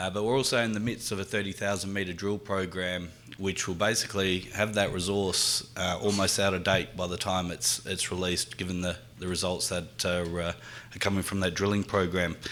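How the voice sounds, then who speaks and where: Talking at a fairly quick pace, a man with a strong Australian accent has a very deep, low pitch and monotone, flat intonation. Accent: Australian, thick. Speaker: mining company executive. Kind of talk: corporate presentation. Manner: halting, many fillers.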